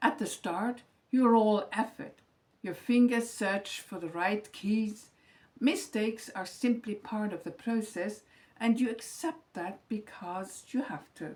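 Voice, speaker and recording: A woman speaks very slowly in a fairly high, somewhat breathy voice with a calm tone and ordinary pitch variation. Her loudness swings widely. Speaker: retired teacher, lifestyle vlogger. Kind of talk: scripted reflective monologue. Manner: calm, measured reading from script.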